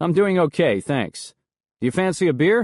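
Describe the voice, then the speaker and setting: Against a quiet background, a man does a put-on character voice at a high pitch and a moderate pace. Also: dry, close sound with no echo. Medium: read story. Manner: blunt, wisecracking.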